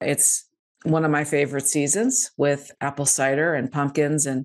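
A woman speaks at a very deep, low pitch and a fairly slow pace. Her pitch variation is ordinary, and the background is quiet. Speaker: podcast host. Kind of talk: casual interview. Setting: video call. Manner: animated. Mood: warm, upbeat. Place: home room. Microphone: studio mic.

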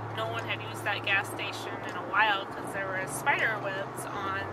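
A woman speaks at a fairly slow pace. The sound is dry with no echo, under loud background noise. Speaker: vlogger on a road trip. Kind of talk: casual vlog chat. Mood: mildly annoyed, chatty. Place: car. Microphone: phone near.

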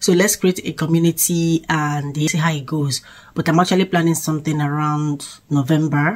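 The delivery is somewhat breathy, at a moderate pace with fairly even intonation. The background is quiet. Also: woman. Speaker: vlogger. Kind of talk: casual vlog chat. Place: home room. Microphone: phone near.

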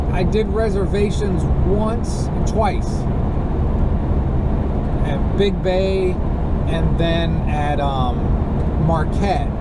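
Heard over loud background noise, the man's voice is dry, without any echo. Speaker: road-trip vlogger driving. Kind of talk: casual vlog chat. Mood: relaxed, joking. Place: car. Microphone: camera far.

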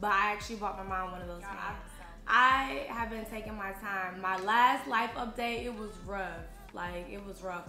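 Faint music plays behind a woman speaking at a medium pitch and a moderate pace. The room echo is audible. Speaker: vlogger. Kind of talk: casual talk to camera. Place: home room.

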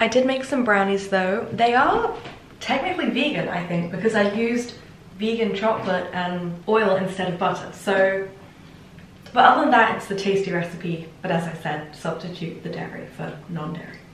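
At a moderate pace, a woman talks in a medium-pitched voice with ordinary pitch variation, with light background noise and audible room echo. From Hertfordshire, England. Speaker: student. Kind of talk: casual vlog talk to camera. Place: kitchen.

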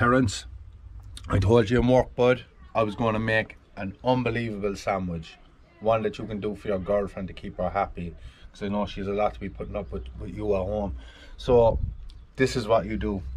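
Here a man speaks at a fairly low pitch with ordinary pitch variation. He leaves long, frequent pauses. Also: moderate pace. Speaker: outdoor cooking vlogger. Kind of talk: casual cooking tutorial. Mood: jokey, upbeat. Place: open country. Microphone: phone near.

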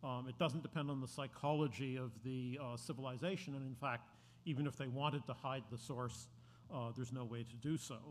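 There is light background noise behind a man. His voice is somewhat breathy, with fairly even intonation. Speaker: speaker. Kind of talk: introductory talk. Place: hall. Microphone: podium.

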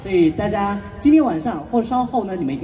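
The pace is fairly quick. Music is clearly heard in the background. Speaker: event host. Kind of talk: stage hosting announcement.

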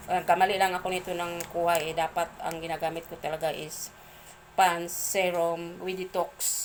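A woman speaks at a fairly slow pace in a fairly low pitch. Her intonation is flat and monotone. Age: 50s. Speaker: vlogger and product seller. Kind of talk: product review vlog. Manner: halting.

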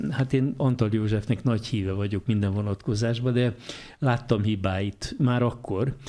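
Keeping very even loudness, a man speaks with a dark, mellow tone and fairly even intonation. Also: moderate pace. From Hungary. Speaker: radio host. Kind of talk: interview.

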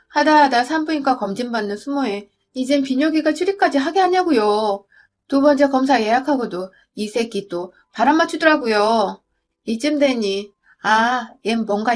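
A woman speaks in a high pitch with lively intonation. The recording is very clean, the background silent. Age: 30s. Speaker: storyteller. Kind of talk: scripted narration.

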